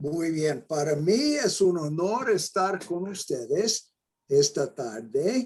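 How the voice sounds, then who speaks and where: In an American accent, a man speaks at a very slow pace with a high pitch. His pitch swings very widely. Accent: non-Mexican, American-accented Spanish. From New Mexico, US. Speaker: mathematics education professor. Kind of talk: lecture. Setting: videoconference.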